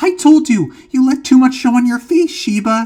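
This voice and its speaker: A woman's put-on character voice, high in pitch, with lively intonation at a moderate pace. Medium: read story.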